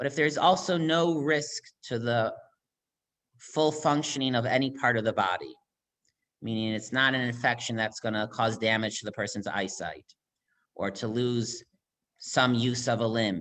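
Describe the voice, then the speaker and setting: Long, frequent pauses break up speech that has ordinary pitch variation. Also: man, medium pitch for a man. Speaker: rabbi. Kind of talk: lecture. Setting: video call. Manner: fast.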